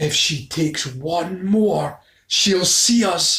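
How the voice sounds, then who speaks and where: Put-on character voice at a middle pitch, delivered at a very slow pace. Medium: read story.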